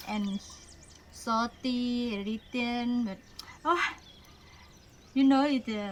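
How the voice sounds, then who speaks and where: A woman with a Thai accent speaks in a high pitch with fairly even intonation. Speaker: cooking show host. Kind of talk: cooking tutorial. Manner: halting.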